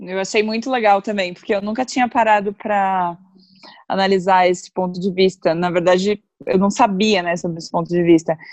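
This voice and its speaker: A woman's fairly quick, fairly evenly intoned speech at a medium pitch, an unremarkable speaking voice. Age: 30s. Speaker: guest on astrology podcast. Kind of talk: casual chat.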